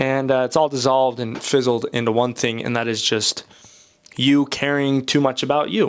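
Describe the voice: The man's tone is clear and smooth, and his intonation stays fairly even. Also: medium pitch for a man, moderate pace.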